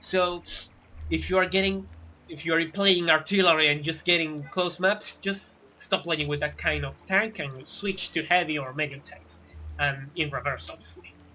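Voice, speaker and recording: A man's high-pitched voice with a non-native accent, a bright, sharp tone, fairly even intonation, big swings in loudness, and a moderate pace. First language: not English. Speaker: gaming tutorial youtuber. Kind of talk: tutorial. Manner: casual, with hesitations and self-corrections.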